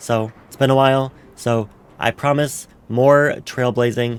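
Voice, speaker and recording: A man speaks in a monotone, flat intonation. His pitch sits in the medium range. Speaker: gaming streamer. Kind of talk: casual let's play outro. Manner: casual with fillers.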